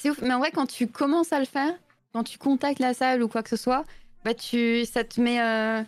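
A woman with a high pitch and fairly even intonation speaks at a moderate pace on a very clean recording with a silent background. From Belgium. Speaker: streamer and illustrator. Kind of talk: casual live-stream interview. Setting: live stream voice call.

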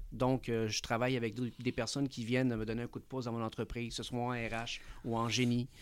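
In a very clean recording with a silent background, a man of medium pitch speaks fairly quickly in a flat monotone. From Chile (Santiago), living in Quebec. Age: 40s. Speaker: entrepreneur, management consultant. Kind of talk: interview.

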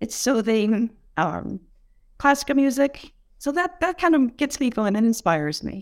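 With an American accent, a woman speaks at a fairly high pitch and a moderate pace. Her pitch makes very wide swings. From Buffalo, New York. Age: 70s. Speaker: office worker. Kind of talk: casual panel discussion.

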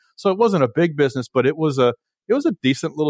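Recorded very cleanly with a silent background, the man's voice sounds dry and close, with no echo. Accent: Southern US. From Nashville, Tennessee. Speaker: entrepreneur, company co-founder. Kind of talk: interview. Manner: halting, frequent repetitions.

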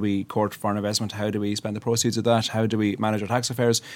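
Speaking very fast, a man talks with an Irish accent. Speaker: politician. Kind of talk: studio panel discussion. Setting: studio.

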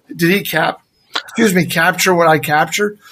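A man speaks in a raised, projected voice with a bright, sharp tone. His pace is moderate and his pitch variation ordinary. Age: 50s. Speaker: actor. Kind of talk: casual interview chat.

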